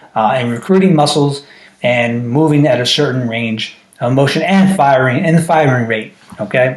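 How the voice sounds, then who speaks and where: A man with a medium pitch keeps a moderate pace despite noticeable background noise. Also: ordinary pitch variation. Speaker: strength coach. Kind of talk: tutorial. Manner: casual, frequent filler checks.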